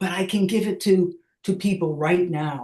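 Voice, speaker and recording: Somewhat breathy, the woman's voice moves at a fairly slow pace. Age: 60s. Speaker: artist and educator with Parkinson's. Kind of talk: seminar talk. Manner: halting, with repetitions.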